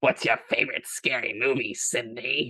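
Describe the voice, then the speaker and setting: A raspy, put-on character voice at a moderate pace. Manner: menacing, sinister.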